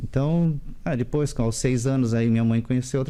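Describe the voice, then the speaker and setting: A fairly quick pace with ordinary pitch variation. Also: man. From Santa Catarina, Vale do Itajaí (Indaial). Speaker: interviewee. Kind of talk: TV interview.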